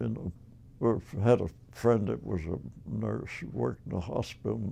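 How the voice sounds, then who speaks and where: Very deep and low, this man's voice has a dark, mellow tone and a Nova Scotian accent. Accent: Nova Scotian Canadian English. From Nova Scotia, Canada. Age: 80s+. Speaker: elderly man recounting his life. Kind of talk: oral history interview. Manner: halting.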